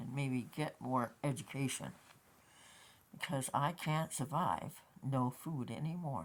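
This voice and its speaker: Very deep and low, this woman's voice moves at a fairly slow pace with ordinary pitch variation and long, frequent pauses. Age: 60s. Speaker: vlogger. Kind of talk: casual monologue vlog.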